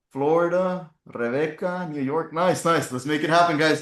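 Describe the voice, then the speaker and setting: Against a quiet background, a man speaks in an animated tone. His voice is fairly high-pitched. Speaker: real estate agent and trainer. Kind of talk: online workshop presentation. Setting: video call. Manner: fast.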